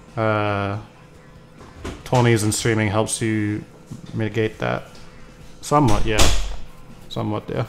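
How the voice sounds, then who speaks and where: Music plays in the background as a man speaks at a fairly slow pace with long, frequent pauses. His pitch is fairly low and his intonation fairly even. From Britain. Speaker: gaming streamer. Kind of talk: casual chat. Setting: live stream. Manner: calm, low-energy.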